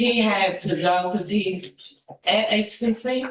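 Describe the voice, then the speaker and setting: In an American accent, a woman talks at a very slow pace and a medium pitch. Her pitch varies in an ordinary way, and the room echo is audible. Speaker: defendant's mother. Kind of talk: courtroom testimony. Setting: courtroom. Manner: loud.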